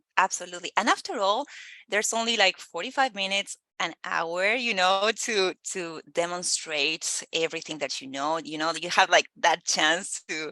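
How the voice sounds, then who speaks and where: Speaking in a Spanish accent at a moderate pace, a woman has a bright, sharp tone, medium pitch and ordinary pitch variation, with dry, close sound, no echo and a quiet background. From Argentina. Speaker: recruiter. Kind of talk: casual chat. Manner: halting, many fillers.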